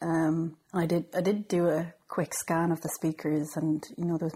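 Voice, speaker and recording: Somewhat breathy and dark and mellow in tone, a woman speaks in a monotone, flat way with a northwest Irish accent. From Ireland, Sligo. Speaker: record label co-founder. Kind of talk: interview. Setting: office.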